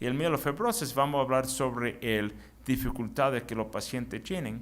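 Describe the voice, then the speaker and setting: Amid audible room echo, a man with vocal fry talks at medium pitch and a moderate pace, his intonation lively. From US (Chicago), Cuban family. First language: English (speaking Spanish). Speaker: physician, hematology specialist. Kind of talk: medical lecture. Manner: halting, self-correcting.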